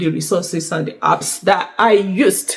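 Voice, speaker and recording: Music plays in the background as a woman speaks. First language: not French; learned French. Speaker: YouTuber sharing exam prep tips. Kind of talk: casual vlog talk to camera. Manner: hesitant, many fillers.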